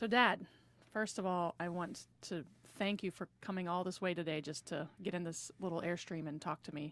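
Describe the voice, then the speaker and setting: Spoken at a moderate pace with fairly even intonation, this is a plain, everyday voice on a very clean recording with a silent background. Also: woman, fairly low pitch for a woman. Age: 40s. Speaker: interviewer, daughter. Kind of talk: oral history interview. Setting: inside a small Airstream trailer.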